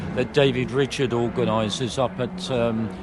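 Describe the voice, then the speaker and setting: With noticeable background noise present, a man talks using ordinary pitch variation. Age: 70s. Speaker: racing driver. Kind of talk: interview. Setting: event stand.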